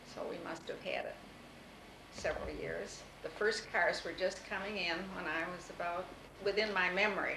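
A woman with an American accent at a moderate pace, with long, frequent pauses and noticeable background noise. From US Midwest, Toledo, Ohio; Ohio. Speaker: interviewee recalling her life; interviewee. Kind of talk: oral history interview. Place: home room. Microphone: old recording.

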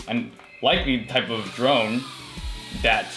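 A man's moderate-paced speech sits over clear background music. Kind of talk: reaction commentary. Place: home room.

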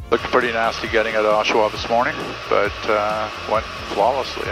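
Clear background music behind a man's speech. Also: dry sound with no echo. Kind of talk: casual vlog commentary. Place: plane. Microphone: headset.

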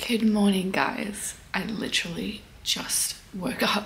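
A woman's put-on character voice, raspy and at a medium pitch, with monotone, flat intonation, a fairly slow pace and clear background noise. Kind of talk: casual video blog greeting.

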